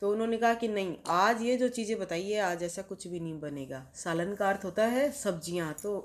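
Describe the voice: The delivery is plain reading aloud. Its pitch variation is ordinary.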